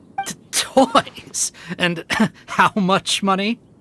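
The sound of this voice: A man with a high pitch puts on a character voice in a bright, sharp tone at a very slow pace. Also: ordinary pitch variation.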